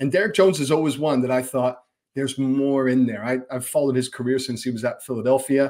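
Against a quiet background, a man at medium pitch speaks at a very fast pace with ordinary pitch variation. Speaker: soccer broadcast analyst. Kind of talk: casual sports podcast chat. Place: home room.

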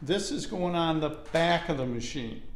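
A man at a fairly slow pace, with light background noise and audible room echo. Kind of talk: casual tutorial vlog. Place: garage. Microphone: phone near.

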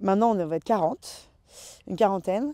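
Over a quiet background, a woman speaks in a dark, mellow tone with ordinary pitch variation. The sound is dry with no echo. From western France, Loire-Atlantique. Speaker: winemaker. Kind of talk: interview. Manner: hesitant with many fillers. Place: open country.

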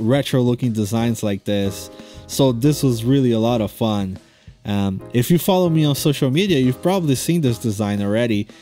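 With music playing behind him, a man talks at a moderate pace. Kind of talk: casual vlog chat over drawing process.

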